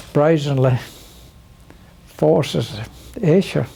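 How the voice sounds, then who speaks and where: A man speaks very slowly while noticeable background noise carries on. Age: 80s+. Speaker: war veteran. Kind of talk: conversation.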